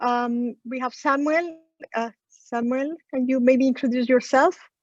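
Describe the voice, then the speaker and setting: With a Spanish accent, a woman speaks at a high pitch. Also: dry, close sound with no echo. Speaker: session moderator. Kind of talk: moderating an online session. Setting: video call from a small room.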